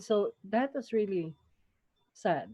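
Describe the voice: A woman speaks at a slow pace with a dark, mellow tone and a slightly husky edge. Her pitch sits in the middle of her range, and her intonation is lively.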